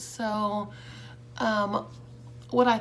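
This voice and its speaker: A woman's voice with noticeable background noise. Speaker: beauty vlogger and makeup seller. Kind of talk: casual makeup tutorial. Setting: home, bright light. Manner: casual, hesitant with many fillers.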